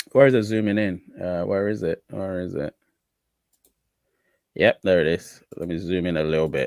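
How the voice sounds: A man's low-pitched voice with vocal fry, a slightly mellow tone, a moderate pace and a dry, close sound with no echo. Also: ordinary pitch variation.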